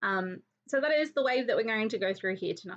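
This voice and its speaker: Very fast speech in an Australian accent. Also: woman. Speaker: crafting YouTuber. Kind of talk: live crafting tutorial. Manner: casual, with many fillers.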